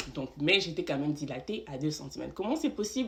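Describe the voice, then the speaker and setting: Somewhat breathy, a woman's voice ranges through very wide pitch swings. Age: 20s. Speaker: vlogger sharing birth story. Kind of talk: storytime monologue. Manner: conversational, filler-heavy.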